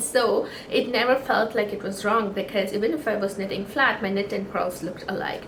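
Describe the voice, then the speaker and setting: A woman talks at a moderate pace, her voice carrying audible room echo amid noticeable background noise. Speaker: knitting podcaster. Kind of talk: casual chat. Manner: halting.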